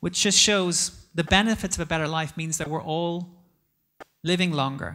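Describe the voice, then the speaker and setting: A fairly slow delivery with an Irish accent. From Ireland. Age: 40s. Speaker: investment executive. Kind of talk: conference talk.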